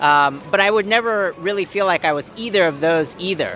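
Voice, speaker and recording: A man talks at a moderate pace with an American accent. The sound is dry with no echo, with light background noise. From Japan. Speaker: interviewee. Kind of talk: interview. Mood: relaxed, reflective. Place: street. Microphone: handheld.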